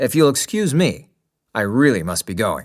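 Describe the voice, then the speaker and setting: A man's growling, put-on character voice at medium pitch with very wide pitch swings and a moderate pace, on a very clean recording with a silent background. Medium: read story. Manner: brisk, official.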